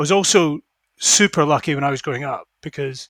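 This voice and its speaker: In a Scottish accent, a man with a fairly high pitch and a bright, sharp tone speaks at a moderate pace in a very clean recording with a silent background and a dry, close sound with no echo. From Scotland. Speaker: fund manager. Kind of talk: interview.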